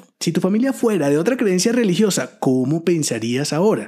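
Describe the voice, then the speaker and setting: Man with a high pitch and a dark, mellow tone, fairly quick pace and very wide pitch swings. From Venezuela, llanos region. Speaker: personal branding podcaster. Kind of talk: solo podcast monologue.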